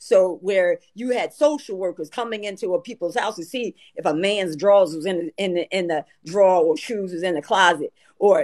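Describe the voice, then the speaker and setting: The tone is animated, with ordinary pitch variation and a moderate pace. The background is quiet. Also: woman, medium pitch for a woman. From US. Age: 60s. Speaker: retired family court judge. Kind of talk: casual chat. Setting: livestream call. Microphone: video call.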